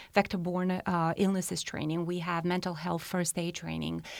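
A woman with a Romanian accent, fairly low pitch and monotone, flat intonation on a very clean recording, silent background. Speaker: health department program coordinator. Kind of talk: interview about a county program.

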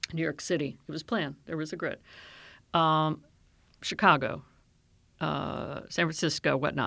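The speaker has an American accent, a bright, sharp tone, vocal fry and fairly even intonation, with long, frequent pauses. The recording is very clean, with a silent background. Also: woman, very deep, low pitch for a woman, moderate pace. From Maryland, US (Silver Spring). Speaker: county government executive, urban planner. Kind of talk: interview.

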